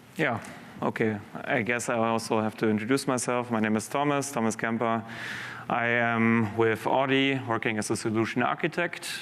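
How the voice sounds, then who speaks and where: Here a man speaks at a medium pitch with fairly even intonation. There is audible room echo. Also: moderate pace, very even loudness. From Germany. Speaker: solution architect. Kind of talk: conference presentation.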